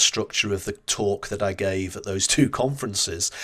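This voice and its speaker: This is a man speaking. He talks with a Northern English accent. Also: very clean recording, silent background. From northern England. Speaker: marketing strategist and book author. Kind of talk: interview conversation. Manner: hesitant with repeated words.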